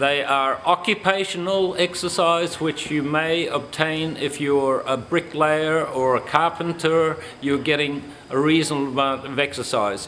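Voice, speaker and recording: Here a man talks at a fairly high pitch and a fairly slow pace. Noticeable background noise runs underneath. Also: fairly even intonation, very even loudness. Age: 70s. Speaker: exercise instructor. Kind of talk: instructional talk.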